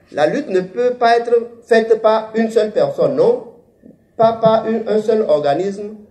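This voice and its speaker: Audible room echo surrounds a man's voice. He talks at a fairly slow pace. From Benin. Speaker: author. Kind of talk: interview statement; public talk. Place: hall. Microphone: handheld.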